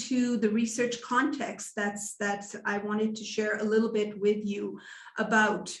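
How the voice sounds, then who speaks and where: A woman's fairly high, somewhat breathy voice at a moderate pace, with fairly even intonation and audible room echo. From Pakistan, also Iran and England. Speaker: education professor. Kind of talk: lecture.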